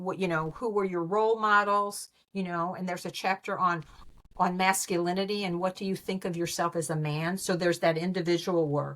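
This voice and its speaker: Here a woman talks at a medium pitch. The audio is very clean, and the background is silent. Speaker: relationship specialist and author. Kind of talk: interview. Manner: animated.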